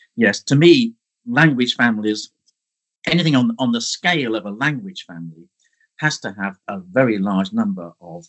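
Very wide pitch swings mark this moderately paced voice with an English accent. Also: man. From central England. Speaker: archaeology professor. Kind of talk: interview. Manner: halting.

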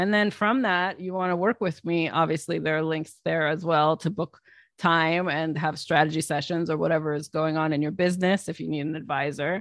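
A woman with an American accent speaks at a fairly quick pace in a very deep, low voice, her intonation fairly even over a quiet background. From United States, Palestinian Lebanese family. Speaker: business coach and author. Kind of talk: interview conversation.

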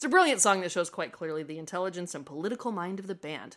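An ordinary speaking voice from a woman with an American accent, medium in pitch, with lively intonation and a fairly quick pace, on a very clean recording with a silent background. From Nebraska, US Midwest. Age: 30s. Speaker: writer and content strategist. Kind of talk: casual chat; reading aloud.

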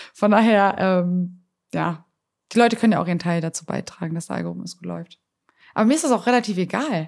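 Talking very fast at a medium pitch, a woman leaves long, frequent pauses. Her loudness swings widely, while her pitch varies an ordinary amount. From Germany, Hamburg. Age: 20s. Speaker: evangelist and entrepreneur. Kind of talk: interview.

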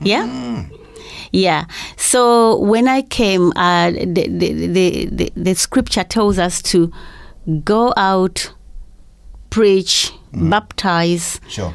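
Speaking at a very slow pace with long, frequent pauses, a woman uses a medium pitch and lively intonation. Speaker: charity school founder. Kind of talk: interview. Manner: soft-spoken.

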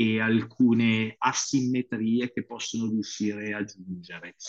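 Here a man speaks at a very slow pace with a dark, mellow tone at medium pitch. The sound is dry and close, with no echo. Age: 40s. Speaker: strength coach and physiotherapist. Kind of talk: interview. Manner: animated.

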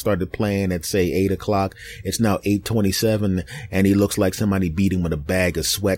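With a Philadelphia accent, a man talks in a dark, mellow tone. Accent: Philadelphia American. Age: 40s. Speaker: podcast host and comedian. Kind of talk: casual monologue. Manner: animated.

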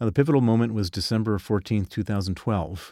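A man with an American accent, on a very clean recording with a silent background and a dry, close sound with no echo. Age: 50s. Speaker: financier and activist. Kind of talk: interview.

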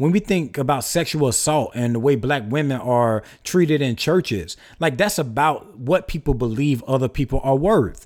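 This man talks at a moderate pace with hardly any pauses and a fairly high pitch. His intonation is lively and his tone animated. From US South. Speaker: minister and author. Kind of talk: interview.

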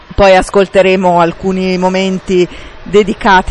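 A woman at medium pitch, fairly slow and monotone with flat intonation, over noticeable background noise. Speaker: radio film show host. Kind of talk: radio presenting and interviews. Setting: film festival.

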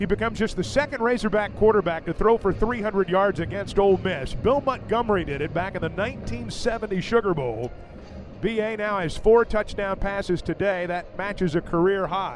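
A man talks high in his range, his pitch moving in a normal way, while music plays underneath. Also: moderate pace. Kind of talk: radio sports commentary.

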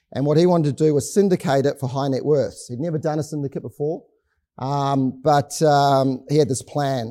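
Speaking with a New Zealand accent, a man with a fairly high pitch and a dark, mellow tone talks at a moderate pace with fairly even intonation. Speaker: company executive. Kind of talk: business presentation. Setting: stage with audience. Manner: hesitant with frequent fillers.

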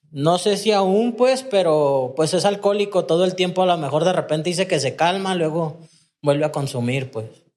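A man with a Mexican accent talks at a moderate pace in a high pitch, his intonation lively. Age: 30s. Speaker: recovering addict. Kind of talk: personal testimony in casual interview.

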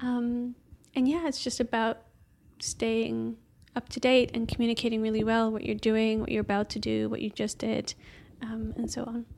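With a Dutch accent, a woman speaks at a fairly high pitch in monotone, flat intonation. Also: moderate pace. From Netherlands, Amsterdam. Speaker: software engineer. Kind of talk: casual interview chat. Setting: in person.

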